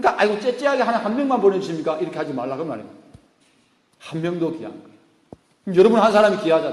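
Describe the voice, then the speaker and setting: A man talks with lively intonation while audible room echo fills the recording. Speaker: pastor. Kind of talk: sermon. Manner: animated.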